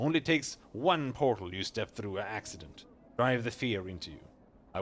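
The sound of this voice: Lively intonation shapes the delivery. The reading voice is unforced.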